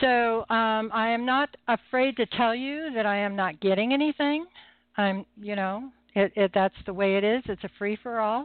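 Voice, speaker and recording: With a plain, everyday voice, a woman speaks at a fairly high pitch and moderate pace, with ordinary pitch variation. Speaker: psychic medium and radio host. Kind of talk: live call-in psychic readings show. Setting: phone-in radio show. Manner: humorous, chatty, friendly.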